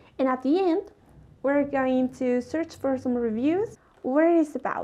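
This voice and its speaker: A woman with a non-native accent, high in pitch with a dark, mellow tone, at a fairly slow pace and with ordinary pitch variation. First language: not English. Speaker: YouTuber reviewing a TV series. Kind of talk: casual video review monologue.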